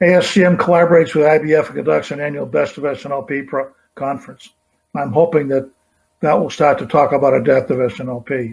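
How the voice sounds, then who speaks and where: A man's somewhat breathy, fairly high voice at a very fast pace. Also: fairly even intonation. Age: 80s+. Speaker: supply chain consultant; presenter. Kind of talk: conference keynote presentation. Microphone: webcam.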